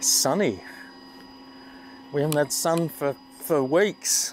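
A man at a fairly high pitch, slow-paced, with ordinary pitch variation

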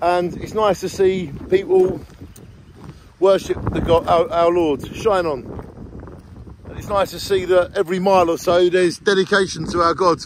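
A man with a high voice talks at a moderate pace with fairly even intonation and long, frequent pauses, in a dry sound with no echo over noticeable background noise. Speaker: travel vlogger. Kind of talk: casual vlog chat. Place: open country. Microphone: phone near.

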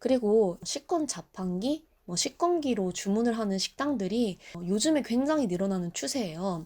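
Very wide pitch swings mark a woman's fairly high voice with a dark, mellow tone, at a moderate pace with hardly any pauses, on a very clean recording with a silent background. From South Korea. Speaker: Japanese language tutor and YouTuber. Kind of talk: travel tips vlog with personal story.

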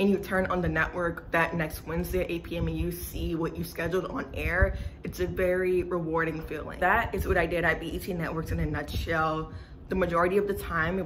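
A woman speaks at a fairly quick pace with an American accent. Light background noise can be heard. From US South, New Orleans, Louisiana. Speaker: YouTuber giving career advice. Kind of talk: vlog talking to camera. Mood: cheerful, nostalgic.

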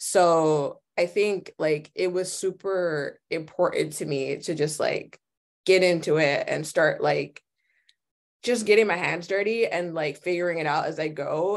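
Here is an ordinary speaking voice, a woman's with an American accent. Her pitch is fairly low and her intonation fairly even. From New York City, the Bronx. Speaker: visual designer; guest. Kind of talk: guest lecture. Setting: video call. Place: home room. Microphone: headset.

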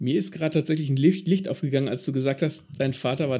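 Somewhat breathy and dark, mellow in tone, a man speaks at a fairly quick pace with fairly high pitch and ordinary pitch variation on a very clean recording with a silent background. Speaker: podcast host. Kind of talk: interview.

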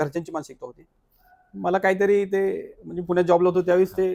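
The man's voice is high-pitched with a dark, mellow tone. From Satara, Maharashtra. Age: young. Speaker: hotel owner. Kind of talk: interview.

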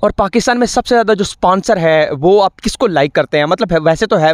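A man at a fairly quick pace with ordinary pitch variation, a dry sound with no echo and a quiet background. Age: 20s. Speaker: sports interviewer. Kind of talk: interview. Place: open country. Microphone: handheld.

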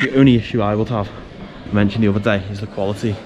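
Clear music sounds in the background while a man talks. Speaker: travel vlogger. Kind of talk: casual vlog chat. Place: market. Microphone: phone near.

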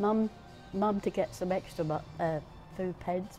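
Faint music plays behind a woman speaking at a fairly slow pace and medium pitch. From Great Yarmouth, Norfolk. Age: 80s+. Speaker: elderly local resident. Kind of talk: interview answer, reminiscing. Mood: fond, nostalgic. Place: cafe. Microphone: phone near.

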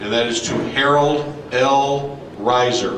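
A man talks in a monotone, with flat intonation. Light background noise and an audible room echo are present. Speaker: presenter. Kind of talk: formal ceremony address. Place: hall. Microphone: camera far.

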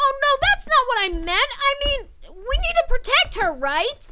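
Using a cartoonish character voice, a woman speaks at an extremely high pitch with very wide pitch swings and a moderate pace. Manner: upbeat, excitable.

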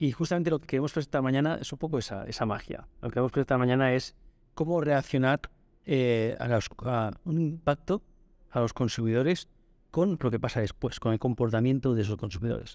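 Against a quiet background, with a dry sound and no echo, a man talks at a fairly quick pace in a medium pitch with ordinary pitch variation. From Spain, Barcelona; Catalonia, Spain. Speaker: market research company director; podcast guest. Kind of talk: interview. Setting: conference venue. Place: studio. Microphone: studio mic.

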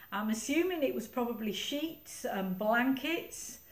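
A woman is speaking. There is audible room echo around her voice. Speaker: library reminiscence session host. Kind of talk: guided reminiscence talk to older audience. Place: meeting room. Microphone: camera far.

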